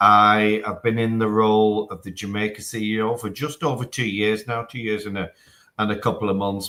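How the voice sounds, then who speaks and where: A man with a northwest English accent speaks at a moderate pace in a fairly low voice, on a very clean recording with a silent background. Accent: broad northwest English. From northern England, Manchester. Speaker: telecom executive. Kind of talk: live interview. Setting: video link from office. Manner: hesitant with fillers.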